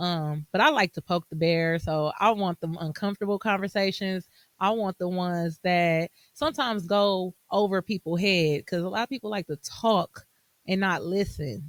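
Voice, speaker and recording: The sound is dry and close with no echo as a woman speaks at a medium pitch and moderate pace, with ordinary pitch variation. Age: 30s. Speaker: podcast host. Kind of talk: solo podcast monologue. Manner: hesitant, many fillers.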